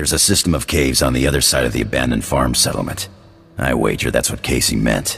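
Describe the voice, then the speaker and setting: Over clear background music, a man puts on a gruff character voice with a very deep, low pitch and talks at a very fast pace. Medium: video game. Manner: gruff, casual slang.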